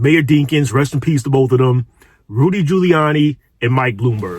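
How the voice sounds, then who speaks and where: Speaking with a New York accent, a man talks at a moderate pace in a somewhat breathy voice. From New York City. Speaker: social commentary youtuber. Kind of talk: commentary monologue. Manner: casual, with frequent repetitions and fillers.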